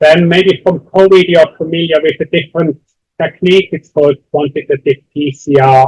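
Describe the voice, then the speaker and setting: The voice has fairly even intonation and a dry, close sound with no echo. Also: man, fairly high pitch for a man. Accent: Swiss. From Switzerland. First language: not English. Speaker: university lecturer. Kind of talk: lecture. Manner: slow, deliberate.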